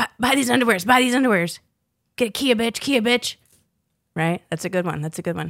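The speaker has an American accent and an animated tone, with lively intonation at a fairly quick pace. Long, frequent pauses break up the speech, and the sound is dry and close with no echo. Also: woman. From Southern Virginia, US South. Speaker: podcast co-host. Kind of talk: casual chat.

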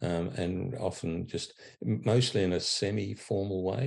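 Against a quiet background, a man with an Australian accent speaks at a fairly slow pace in a very deep, low pitch with vocal fry. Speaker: charity chief executive. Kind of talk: interview.

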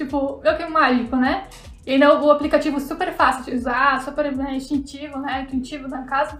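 A woman's high-pitched voice at a moderate pace, with audible room echo. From southern Brazil, Santa Catarina. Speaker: fashion illustrator. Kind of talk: casual interview chat.

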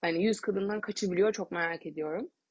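A woman's fairly low, animated voice with vocal fry, ordinary pitch variation and a fairly quick pace. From Turkey, Bursa. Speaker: doula and podcaster. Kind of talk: solo podcast monologue. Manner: animated, laughing often.

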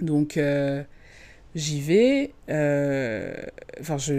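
A woman speaks in a very deep, low voice. The recording is very clean, with a silent background. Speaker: podcast host. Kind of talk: personal storytelling. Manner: hesitant, many fillers.

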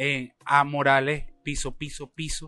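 A man's fairly high, monotone voice with flat intonation. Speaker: podcast host. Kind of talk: casual interview. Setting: café.

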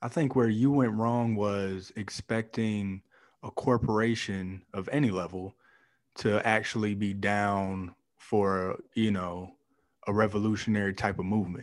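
In a very clean recording with a silent background, a man with a plain, everyday voice and an American accent speaks at a fairly slow pace and fairly low pitch with fairly even intonation. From Canton, Ohio. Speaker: podcast co-host. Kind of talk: casual chat.

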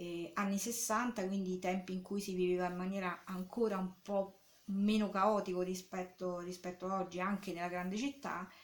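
Delivery is monotone and flat at a moderate pace. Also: woman, medium pitch for a woman. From Rome, Italy. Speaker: artist. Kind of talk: interview. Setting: artist's studio. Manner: halting.

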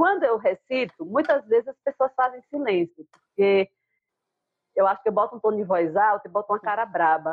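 A woman uses a normal speaking voice, pitched in the middle range and varying in pitch in an ordinary way. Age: 40s. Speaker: writer and poet. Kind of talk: casual chat. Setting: video call.

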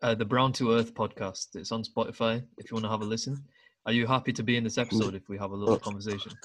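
Talking at a very fast pace, a man uses a British accent at a medium pitch. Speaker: podcast host. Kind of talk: casual chat. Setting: video call. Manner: animated.

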